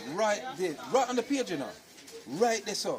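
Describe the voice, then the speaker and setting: There is noticeable background noise behind this man. He talks at a moderate pace in an animated tone. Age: 60s. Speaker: community school elder and teacher. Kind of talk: interview storytelling.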